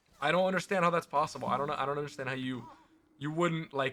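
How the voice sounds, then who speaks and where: Fairly high in pitch, a man speaks with ordinary pitch variation. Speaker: streamer. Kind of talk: live-stream gaming chat. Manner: loud; animated.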